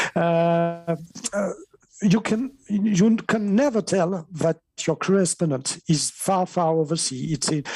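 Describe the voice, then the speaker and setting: A man with a French accent speaks very slowly at a high pitch in a dark, mellow tone. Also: ordinary pitch variation. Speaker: ham radio operator, network member. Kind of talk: interview. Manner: halting, many fillers.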